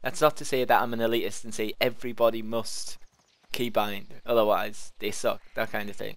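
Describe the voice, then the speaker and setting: At a moderate pace, a man talks in a medium-pitched voice with fairly even intonation, and the sound is dry and close with no echo. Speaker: gaming video creator. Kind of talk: let's play gameplay commentary. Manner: casual, unscripted with hesitations.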